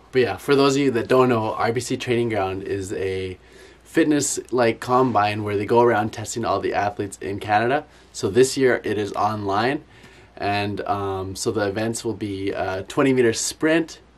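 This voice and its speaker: Ordinary pitch variation marks a man's speech at a moderate pace. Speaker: athlete vlogger. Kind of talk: casual vlog chat. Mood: upbeat, excited. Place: home room.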